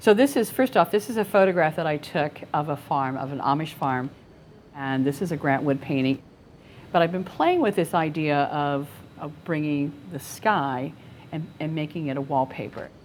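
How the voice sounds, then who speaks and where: This woman has an American accent and a very deep, low pitch. She speaks at a moderate pace. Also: ordinary pitch variation. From northern Ohio (LaGrange). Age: 70s. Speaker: painter, art student. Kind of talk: interview about own artwork.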